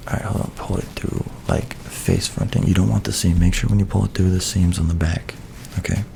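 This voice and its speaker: A soft-spoken man with a very deep, low voice, talking at a fairly quick pace with ordinary pitch variation over noticeable background noise. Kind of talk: soft-spoken ASMR tutorial to camera. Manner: soft-spoken, casual, friendly.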